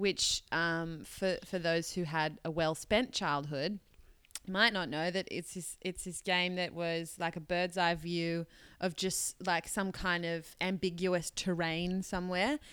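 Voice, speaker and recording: An ordinary speaking voice belongs to a woman with a fairly low pitch and fairly even intonation. She goes at a fairly slow pace on a very clean recording with a silent background. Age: 20s. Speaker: podcast co-host. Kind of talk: casual chat.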